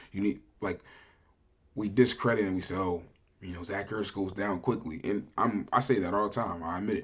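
A man speaks in a normal speaking voice, his pitch varying in an ordinary way and his pace moderate. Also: fairly low pitch for a man, very clean recording, silent background. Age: 20s. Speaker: sports podcast co-host. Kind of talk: casual chat.

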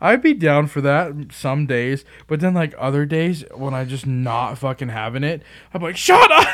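Talking at a moderate pace, a man with an ordinary speaking voice sits at a fairly high pitch with ordinary pitch variation. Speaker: podcast host. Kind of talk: casual chat. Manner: casual, joking.

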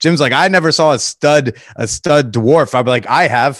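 With an American accent and a normal speaking voice, a man speaks at a fairly high pitch in a very clean recording with a silent background. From Connecticut, US. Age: 30s. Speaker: podcast host. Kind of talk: casual chat.

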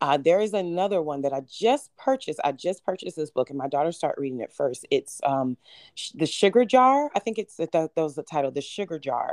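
A woman speaks at a fairly quick pace with hardly any pauses, her warm, enthusiastic tone carrying very wide pitch swings. The recording is very clean with a silent background, dry and close with no echo. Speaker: healer and business founder. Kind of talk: casual interview chat.

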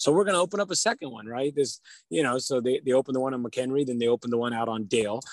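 A man talks at a very fast pace with an American accent. His pitch is medium and his intonation lively. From California, Modesto. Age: 40s. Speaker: county supervisor. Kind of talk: radio interview.

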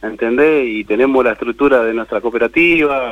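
Noticeable background noise runs under the recording. The speaker goes at a fairly quick pace. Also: man. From Argentina, Buenos Aires province. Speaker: cooperative worker, former prisoner. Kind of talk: interview.

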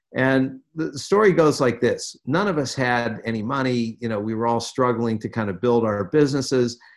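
In a normal speaking voice with an American accent, the speaker goes at a moderate pace with hardly any pauses and ordinary pitch variation. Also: man, medium pitch for a man. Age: 60s. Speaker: financier and former political campaigner. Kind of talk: interview.

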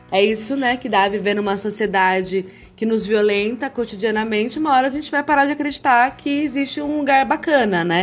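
In an ordinary speaking voice, a woman talks at a fairly quick pace with a fairly high pitch, lively intonation and hardly any pauses. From interior of São Paulo state, Brazil (Campinas). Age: 30s. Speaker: lawyer and gender equity consultant. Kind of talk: podcast interview.

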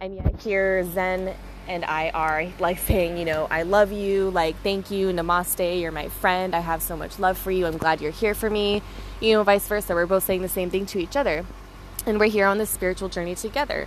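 Noticeable background noise accompanies a woman at medium pitch. She talks at a moderate pace with fairly even intonation. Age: 20s. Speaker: podcaster. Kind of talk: casual vlog-style monologue. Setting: hotel room.

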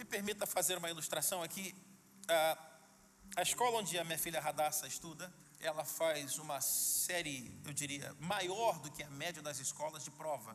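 Amid noticeable background noise, a man with a Brazilian accent speaks in an animated tone at a moderate pace, his fairly high voice showing ordinary pitch variation. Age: young. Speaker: pastor. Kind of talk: sermon. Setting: church.

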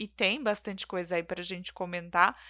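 This woman's voice has a bright, sharp tone. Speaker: podcast co-host. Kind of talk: casual chat.

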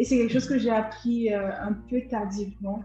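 A woman with an unremarkable speaking voice talks at a fairly slow pace, her fairly high pitch carried in fairly even intonation. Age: 20s. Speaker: law student and content creator. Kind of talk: casual interview.

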